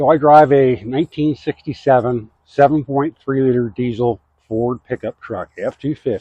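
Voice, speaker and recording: The man has a normal speaking voice and a medium pitch. His pace is moderate and his intonation fairly even. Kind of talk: DIY tutorial talk to camera. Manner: casual, folksy.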